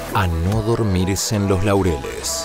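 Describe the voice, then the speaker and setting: Clear music plays in the background while a man speaks in a dry sound with no echo. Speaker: voice-over announcer. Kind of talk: TV sports promo read. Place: studio. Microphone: studio mic.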